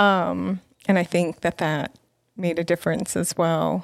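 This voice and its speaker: A plain, everyday voice with an American accent moves at a fairly slow pace on a very clean recording with a silent background. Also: woman. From New York City. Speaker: former missionary. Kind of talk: interview testimony.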